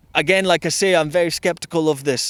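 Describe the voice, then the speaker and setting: In a Scottish accent, a man talks at a fairly quick pace, the sound dry and close with no echo on a very clean recording with a silent background. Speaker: street interviewer. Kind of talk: street interview. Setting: outdoors in a park.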